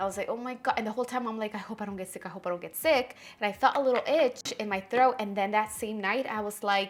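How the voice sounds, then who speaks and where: Her pace is very fast, with hardly any pauses. The woman's voice is fairly high, with ordinary pitch variation. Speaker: beauty vlogger. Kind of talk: casual chat.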